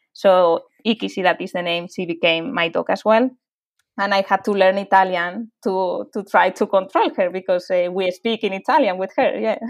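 This woman speaks in a Spanish accent with ordinary pitch variation. The recording is very clean, with a silent background. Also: medium pitch for a woman, moderate pace. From Spain, near Madrid. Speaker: animal charity founder. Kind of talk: interview. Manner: halting.

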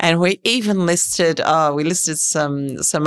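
A woman speaks at a fairly slow pace with ordinary pitch variation, her voice dry and close with no echo. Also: very clean recording, silent background. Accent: Australian. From Sydney, Australia. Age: 50s. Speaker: fund manager. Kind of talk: interview.

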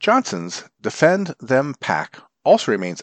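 The voice has vocal fry and very wide pitch swings, recorded with a dry, close sound with no echo against a quiet background. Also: man. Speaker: volunteer newspaper reader. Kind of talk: formal newsreading of print news articles, read aloud for blind listeners. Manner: formal, even, measured newsreader delivery.

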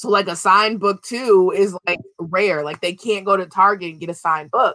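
A woman talks at a moderate pace in a plain, everyday voice. The recording is very clean, with a silent background. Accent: American. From Minnesota. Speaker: children's book author. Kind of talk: interview.

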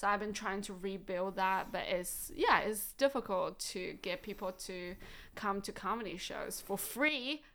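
A woman with a Chinese accent speaks at a fairly slow pace, her pitch medium with ordinary variation. Her tone is bright and sharp, and the recording is very clean with a silent background. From China, Shandong province. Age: 30s. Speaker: comedian. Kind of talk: casual chat. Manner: frequent fillers, says um a lot.

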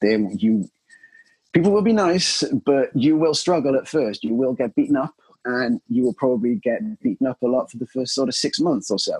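With a Cardiff accent and lively intonation, the speaker moves at a moderate pace in a dry, close sound with no echo. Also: man. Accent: Welsh (Cardiff). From Wales, Cardiff. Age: 30s. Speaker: jiu-jitsu practitioner. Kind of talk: interview. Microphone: poor lockdown recording quality.

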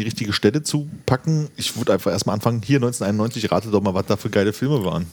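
A man's medium-pitched voice at a very fast pace. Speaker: podcaster. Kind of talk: casual chat.

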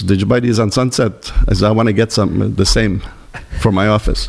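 Amid noticeable background noise, a man speaks at a fairly quick pace with fairly even intonation. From Italy, raised in Montreal from age 3. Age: 70s. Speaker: fashion entrepreneur. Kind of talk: interview. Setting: studio. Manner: storyteller.

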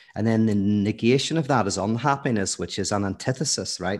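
A man with a Northern Irish accent talks at a fairly quick pace and medium pitch, with ordinary pitch variation against a quiet background. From Northern Ireland, Belfast. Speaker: philosopher and theologian. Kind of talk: podcast interview. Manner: animated.

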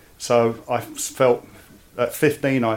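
A man speaks at a medium pitch. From East London, England. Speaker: army veteran. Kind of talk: interview.

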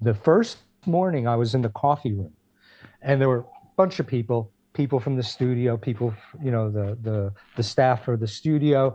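In an American accent, a man talks with a dark, mellow tone. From New Jersey (Passaic/Clifton). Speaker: retired music industry worker and musician. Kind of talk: interview.

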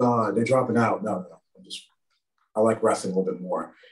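With an American accent, a man speaks at medium pitch with ordinary pitch variation. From US South. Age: 20s. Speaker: professional wrestler. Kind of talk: casual chat.

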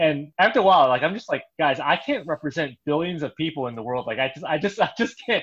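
A man talks at a very fast pace with hardly any pauses. His pitch is fairly high and his intonation lively. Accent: Chicago. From Chicago. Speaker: pastor. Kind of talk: casual chat.

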